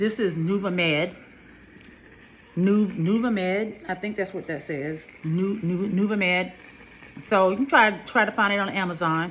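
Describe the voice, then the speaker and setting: There is noticeable background noise as a woman speaks fairly slowly. Her pitch is medium, with ordinary variation. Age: 50s. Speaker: skincare vlogger. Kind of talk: casual vlog talk to camera. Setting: home, sitting under a face steamer. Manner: hesitant, many fillers.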